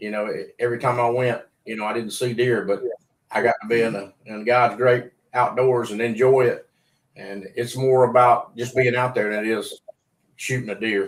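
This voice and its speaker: A man's medium-pitched voice at a moderate pace, flat and monotone in intonation. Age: 60s. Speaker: podcast host, hunter. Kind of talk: casual chat.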